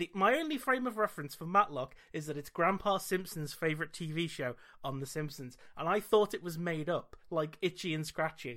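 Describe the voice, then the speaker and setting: A man with a British accent speaks at a moderate pace. His voice is high-pitched, with a bright, sharp tone. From Britain. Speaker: podcast host. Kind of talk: casual chat.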